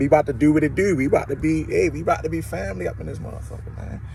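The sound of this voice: Speaking at a fast pace, a man with a fairly high pitch lets vocal fry creep into his voice.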